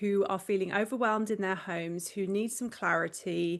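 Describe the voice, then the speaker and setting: A woman with medium pitch and fairly even intonation, over a quiet background. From England. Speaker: professional organizer. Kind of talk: podcast interview.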